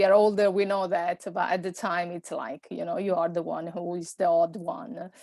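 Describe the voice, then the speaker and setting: In an Italian accent, a woman speaks at medium pitch and a moderate pace with fairly even intonation. The sound is dry and close, with no echo. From Italy. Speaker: personal stylist. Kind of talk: podcast interview. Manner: halting, many fillers.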